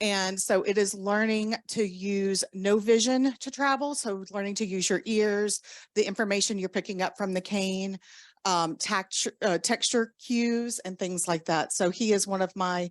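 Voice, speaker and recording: A woman with a Southern US accent at a fairly slow pace, in a dry, close sound with no echo and a quiet background. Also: medium pitch for a woman, fairly even intonation. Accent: Southern US, country. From US South, Southern Louisiana. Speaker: orientation and mobility instructor. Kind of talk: conference lecture. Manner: deliberately slow; hesitant, many fillers.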